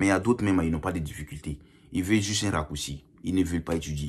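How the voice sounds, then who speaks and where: On a very clean recording with a silent background, a man speaks with a very deep, low pitch and ordinary pitch variation. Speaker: YouTuber commenting on Canadian immigration. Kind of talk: casual vlog commentary. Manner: hesitant, repeats words.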